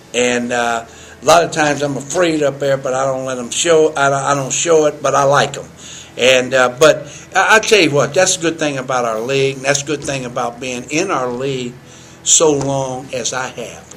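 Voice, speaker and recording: A man with a fairly high pitch talks at a moderate pace with fairly even intonation over noticeable background noise. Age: 60s. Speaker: college basketball head coach. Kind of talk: interview. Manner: halting, repeats words.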